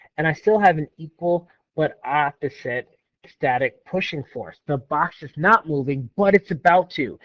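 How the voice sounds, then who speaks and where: This man talks at a moderate pace in a normal speaking voice. His pitch sits fairly high, with ordinary variation. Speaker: physics teacher. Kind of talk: lecture.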